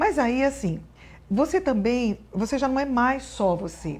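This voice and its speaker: This voice is somewhat breathy, and its pitch varies in an ordinary way. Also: woman. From Brazil, northern Paraná. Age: 60s. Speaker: appellate judge. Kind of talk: interview.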